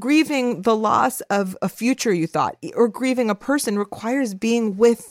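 This woman has a plain, everyday voice, fairly high in pitch, with an American accent. She talks at a moderate pace with ordinary pitch variation in a dry, close sound with no echo. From Los Angeles, US. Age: 40s. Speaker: podcast host and media founder. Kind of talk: casual chat. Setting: remote call from home.

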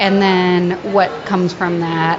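Against noticeable background noise, a woman speaks in a fairly low voice with flat, monotone intonation. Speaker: visual artist. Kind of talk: interview answers.

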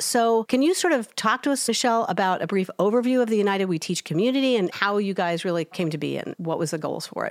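A woman at medium pitch with lively intonation, a very fast pace and hardly any pauses, on a very clean recording with a silent background. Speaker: podcast co-host, education researcher. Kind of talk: casual podcast chat.

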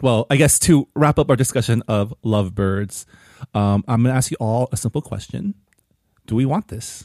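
A man with an ordinary speaking voice and an American accent talks at a moderate pace in a medium pitch, with ordinary pitch variation, on a very clean recording with a silent background and a dry, close sound with no echo. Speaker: podcast host. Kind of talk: casual chat.

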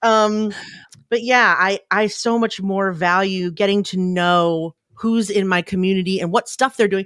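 A woman with a normal speaking voice, medium pitch and fairly even intonation, at a fairly slow pace, on a very clean recording with a silent background. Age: 40s. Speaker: podcast community founder. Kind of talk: casual interview.

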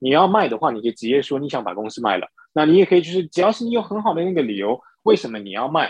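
Talking at a very fast pace, a man with a fairly high pitch shows very wide pitch swings and vocal fry. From Singapore. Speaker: entrepreneur and investor. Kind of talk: interview. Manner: halting, many fillers.

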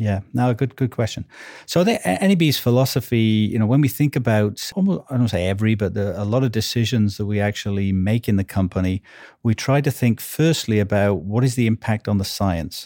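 A man with a Welsh accent, fairly quick and very even in loudness, with a dark, mellow tone and ordinary pitch variation, in a dry, close, very clean recording with a silent background and no echo. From Wales. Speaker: marketing executive. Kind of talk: casual interview.

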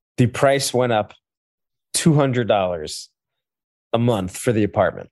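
A man's medium-pitched voice against a quiet background. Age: 30s. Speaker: podcast producer. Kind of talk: casual chat.

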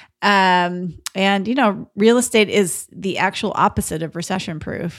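At a moderate pace, a woman with a medium pitch and a normal speaking voice comes through on a very clean recording with a silent background. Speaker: podcast co-host and real estate investor. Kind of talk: casual conversational podcast discussion.

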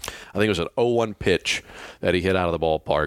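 A man speaks in a very deep, low voice with a Southern US accent, recorded very cleanly against a silent background. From Mississippi. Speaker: radio play-by-play broadcaster. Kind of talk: interview. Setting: hotel room.

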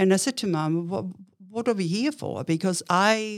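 A woman with an Austrian accent, at a fairly slow pace, with ordinary pitch variation. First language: German. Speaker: entrepreneur. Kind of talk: interview.

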